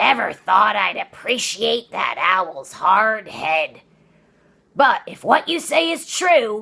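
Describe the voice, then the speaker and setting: A female-sounding, put-on character voice, fairly high in pitch, comes out raspy and growling. It moves at a very slow pace with very wide pitch swings. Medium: read story. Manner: gruff, blustering, excitable.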